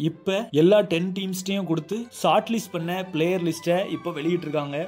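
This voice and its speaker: A man's high voice with fairly even intonation, set over music in the background. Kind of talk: casual talk to camera, cricket news update.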